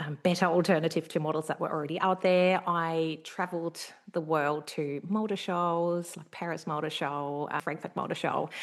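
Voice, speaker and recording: A woman's monotone, flat delivery with hardly any pauses. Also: fairly low pitch for a woman, moderate pace. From Germany. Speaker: business consultant. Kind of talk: podcast interview. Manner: hesitant with many fillers.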